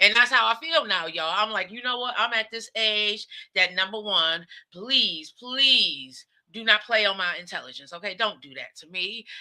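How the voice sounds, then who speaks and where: Bright and sharp in tone, a woman with an American accent speaks at a fairly high pitch, with big swings in loudness. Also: moderate pace. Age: 50s. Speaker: talk show host. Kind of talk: casual monologue. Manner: animated.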